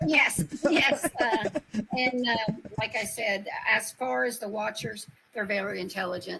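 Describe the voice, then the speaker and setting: With an Appalachian accent, a woman speaks in a fairly high voice with very wide pitch swings and long, frequent pauses over noticeable background noise. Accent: Appalachian Southern US. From US South, Upper East Tennessee. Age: 60s. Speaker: paranormal experiencer. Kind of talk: interview.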